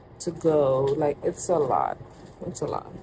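Over noticeable background noise, a woman speaks fairly slowly in a very deep, low voice. Her tone is weary and her intonation fairly even. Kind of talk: casual vlog chat. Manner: weary, low voice of a sore patient. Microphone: phone near.

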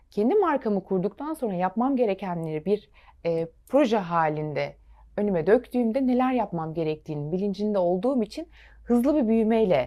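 With very wide pitch swings, a woman of medium pitch talks at a moderate pace in a dark, mellow tone, recorded very cleanly against a silent background. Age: 30s. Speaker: fashion designer. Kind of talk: TV interview.

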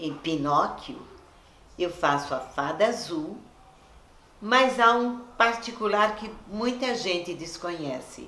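Very slow speech with long, frequent pauses, very wide pitch swings, big swings in loudness, and audible room echo. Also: woman, medium pitch for a woman. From Brazil. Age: 80s+. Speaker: voice actor. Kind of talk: interview answer. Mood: warm, nostalgic, smiling. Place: home room.

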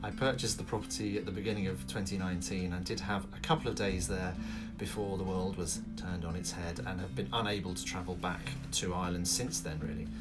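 Male voice at a fairly quick pace over loud music in the background. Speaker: vlogger renovating a cottage. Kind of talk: casual vlog chat. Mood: friendly, smiling. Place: home room. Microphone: phone near.

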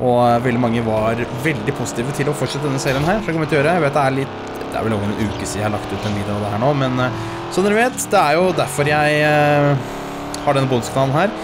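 A man at a very fast pace, with music in the background. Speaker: gaming streamer. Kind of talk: casual gameplay commentary. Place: home room.

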